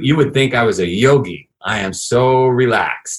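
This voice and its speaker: In a New York accent, a man talks at a medium pitch. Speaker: fitness entrepreneur. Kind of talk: interview conversation.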